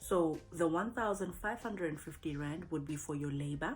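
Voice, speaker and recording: A woman speaks at a fairly slow pace in a fairly low pitch, with ordinary pitch variation. Music plays in the background. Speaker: voice actor. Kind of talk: casual talk to camera.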